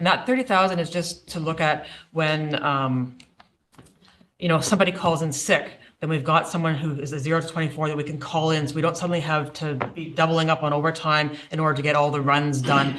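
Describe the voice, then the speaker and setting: A man talks at a very fast pace with a fairly high pitch. His intonation is fairly even, and the room echo is audible. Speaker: municipal staff presenter. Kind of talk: budget presentation. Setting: council meeting.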